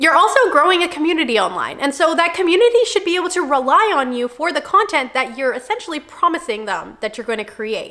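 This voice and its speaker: A woman speaks very fast in a raised, projected voice at an extremely high pitch, her pitch swinging very widely over noticeable background noise. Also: hardly any pauses. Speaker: content creator. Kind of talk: tutorial.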